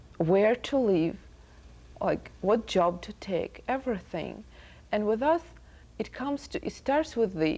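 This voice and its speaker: A woman speaks in a fairly high pitch with a dark, mellow tone, vocal fry and very wide pitch swings. Her pauses are long and frequent. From Soviet Union. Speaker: student. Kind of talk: TV interview.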